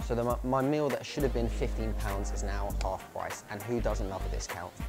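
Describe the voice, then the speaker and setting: A man talks at a moderate speed as music plays clearly in the background. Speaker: food reviewer. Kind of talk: casual vlog chat. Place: cafe.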